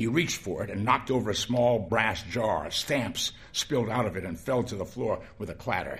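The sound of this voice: The intonation stays fairly even in this unforced reading voice.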